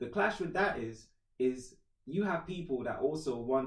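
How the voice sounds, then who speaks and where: A man at medium pitch, somewhat breathy, with lively intonation and a moderate pace. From Trinidad, moved to England at 11. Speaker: musician and rapper. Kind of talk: casual chat.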